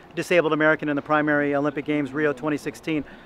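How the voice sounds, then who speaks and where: A man talks at a very fast pace in a fairly high pitch. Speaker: film producer. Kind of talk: interview answer. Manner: fast-talking.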